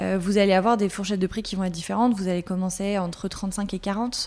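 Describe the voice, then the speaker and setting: This woman has a dark, mellow tone at a medium pitch. She talks at a fairly quick pace with fairly even intonation. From France, Alsace (Colmar). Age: 30s. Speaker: content manager. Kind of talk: interview. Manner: many hesitations (euh).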